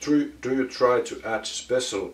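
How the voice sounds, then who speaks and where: Very slow speech from a man, with noticeable noise behind him. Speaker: vinyl collector YouTuber. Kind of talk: casual Q&A monologue. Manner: halting, many filler words.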